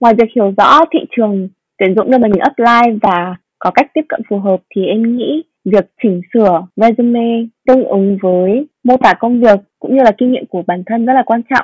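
With a normal speaking voice, a woman speaks at a moderate pace and a fairly high pitch, with ordinary pitch variation and a dry, close sound with no echo. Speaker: business analyst. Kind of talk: interview.

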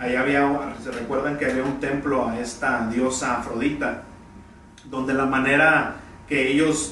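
Amid noticeable background noise and audible room echo, a man with a fairly high voice talks at a fairly slow pace in a monotone, flat intonation. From Mexico, Tampico, Tamaulipas. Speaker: pastor. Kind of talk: sermon. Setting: church. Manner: halting.

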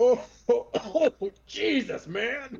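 A put-on character voice pitched fairly high. It comes across booming. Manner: breaking out of the act, exclaiming.

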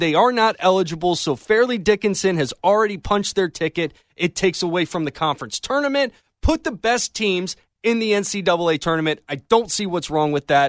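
A man speaks with a high pitch and lively intonation. His pace is moderate, and the sound is dry and close with no echo. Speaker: sports radio producer and update reader. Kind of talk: sports news update. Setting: radio studio.

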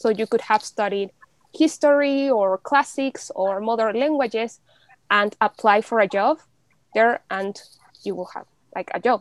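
In a dry, close sound with no echo, a woman with a Spanish accent speaks at a fairly slow pace and fairly high pitch, using ordinary pitch variation and long, frequent pauses. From Mexico City. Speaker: law student. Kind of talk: casual interview.

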